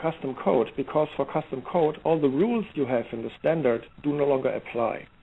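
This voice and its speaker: A man with a slight German accent, fairly high in pitch, at a moderate pace with ordinary pitch variation. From Germany, Heidelberg. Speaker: software security expert. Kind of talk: interview. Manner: halting, many fillers and restarts.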